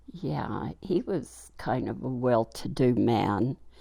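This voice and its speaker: With vocal fry, a woman speaks at a very deep, low pitch in a dark, mellow tone. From New Mexico. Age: 70s. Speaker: grandmother interviewed for family history. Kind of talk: oral history interview. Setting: at home. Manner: halting with fillers.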